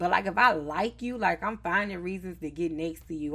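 A woman with a Southern US accent, fairly low in pitch, at a moderate pace, on a very clean recording with a silent background. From Charlotte, North Carolina. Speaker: podcast host. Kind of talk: casual chat.

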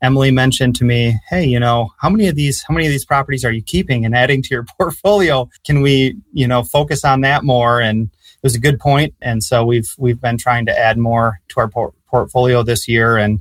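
A man with a somewhat breathy, medium-pitched voice talks at a moderate pace with hardly any pauses and ordinary pitch variation. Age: 30s. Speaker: real estate investor and student. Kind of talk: interview. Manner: halting.

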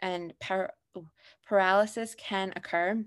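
Very slowly, a woman speaks with an American accent at a medium pitch. Her intonation is fairly even, on a very clean recording with a silent background. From Pennsylvania, US. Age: 20s. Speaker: podcast guest sharing grief story. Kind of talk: personal testimony.

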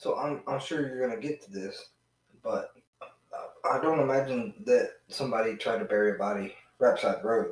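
The speaker moves at a moderate pace in a Southern US accent, with long, frequent pauses. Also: man. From Georgia, US South. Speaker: podcast guest, friend of host. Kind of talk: casual chat about true crime. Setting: in person, same room as host.

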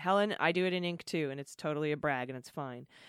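Dry and close with no echo, this very clean recording with a silent background has a woman speaking in an animated tone at a fairly quick pace, her very deep, low pitch showing ordinary variation. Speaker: podcast host. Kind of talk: casual chat, reading listener confessions.

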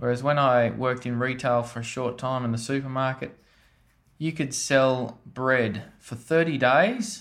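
A man with a rural Australian accent speaks at a fairly slow pace with ordinary pitch variation. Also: medium pitch for a man. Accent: broad rural Australian. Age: 30s. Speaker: farmer. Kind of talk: interview. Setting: on a farm.

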